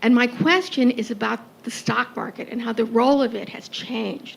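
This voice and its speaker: With noticeable background noise behind her, a woman talks at a moderate pace in a fairly high pitch with fairly even intonation. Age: 70s. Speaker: audience member, physician and attorney. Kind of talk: audience question.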